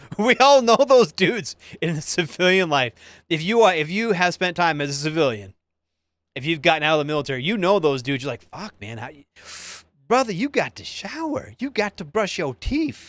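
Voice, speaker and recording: An animated man's high-pitched voice at a fairly quick pace, very wide pitch swings and big jumps in loudness, in a dry, close sound with no echo. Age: 40s. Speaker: army veteran livestream host. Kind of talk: casual livestream chat reading viewer comments.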